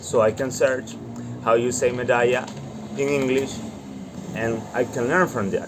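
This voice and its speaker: Against noticeable background noise, a man with a Latin American accent speaks at a fairly slow pace. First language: Spanish. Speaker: student vlogger. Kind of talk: reading aloud with live translation.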